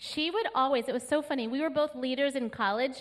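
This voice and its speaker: A woman's high-pitched, animated voice with an American accent and ordinary pitch variation. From California. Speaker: pastor. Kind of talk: sermon. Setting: church. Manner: animated, joyful.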